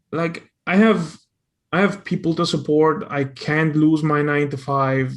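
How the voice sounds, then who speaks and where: Against a quiet background, a man with a non-native accent speaks at a fairly high pitch. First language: not English. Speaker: audience member asking a question. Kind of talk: question from audience. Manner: halting, many fillers and repeats.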